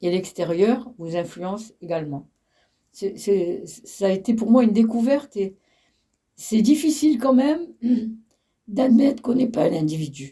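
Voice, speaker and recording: Speaking at a fairly slow pace with long, frequent pauses, a woman with a fairly high, somewhat breathy voice and a dark, mellow tone makes very wide pitch swings. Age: 80s+. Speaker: elderly interviewee. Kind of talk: interview. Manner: halting.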